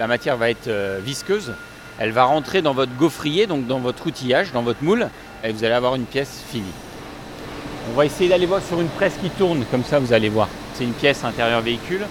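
A man talks at a fairly quick pace with lively intonation, yet leaves long, frequent pauses. There is noticeable background noise. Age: 40s. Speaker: company director. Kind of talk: factory tour explanation.

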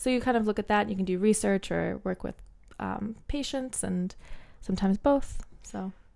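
A woman's dark, mellow voice at medium pitch, moderate pace and ordinary pitch variation. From New Jersey and Bermuda. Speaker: neuroscientist. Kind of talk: casual interview chat.

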